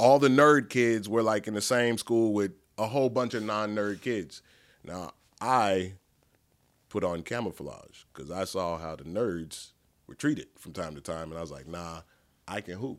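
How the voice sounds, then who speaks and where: With lively intonation and big swings in loudness, a man with an ordinary speaking voice, a fairly low pitch and an American accent talks at a fairly slow pace in a very clean recording with a silent background. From Dallas, Texas (southern side). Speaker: nonprofit leader. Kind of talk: casual interview chat.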